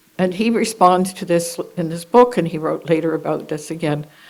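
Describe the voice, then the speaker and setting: A woman speaks with a Canadian accent at a moderate pace. Room echo can be heard. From Canada, Hamilton, Ontario. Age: 80s+. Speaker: clinical psychologist. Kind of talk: conference talk. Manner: halting; unscripted.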